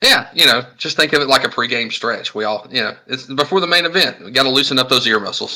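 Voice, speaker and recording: Speaking at a very fast pace, a man has a Southern US accent and a medium pitch. His tone is bright and sharp, with ordinary pitch variation. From US South. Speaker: podcast co-host. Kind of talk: casual chat and live podcast announcements. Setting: live-streamed podcast with audience.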